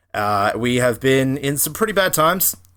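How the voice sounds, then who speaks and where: In an Australian accent, a man with a medium pitch and a bright, sharp tone is heard on a very clean recording with a silent background. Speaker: podcast co-host. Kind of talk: scripted announcement; casual chat. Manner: hesitant, many fillers.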